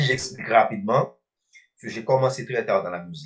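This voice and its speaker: Vocal fry runs through this man's medium-pitched voice. He speaks fairly quickly with very wide pitch swings. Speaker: rapper and slam poet. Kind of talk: radio interview.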